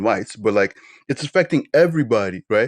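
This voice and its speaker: A man's fairly quick speech with vocal fry and very wide pitch swings, in a dry, close sound with no echo. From Nigeria. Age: 20s. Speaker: podcast host. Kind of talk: casual chat. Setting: livestream. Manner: animated.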